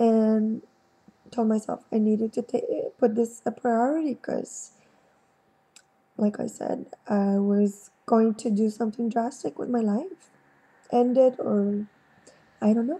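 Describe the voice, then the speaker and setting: A woman speaks at a fairly slow pace with long, frequent pauses, her fairly high voice showing ordinary pitch variation. Her tone is dark and mellow, and somewhat breathy. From Quebec, Montreal. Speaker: vlogger. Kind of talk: personal testimony. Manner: halting, many fillers.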